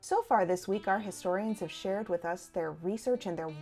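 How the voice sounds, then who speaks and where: Music plays in the background. A woman speaks at a medium pitch. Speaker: festival host from the local council. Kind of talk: scripted introduction.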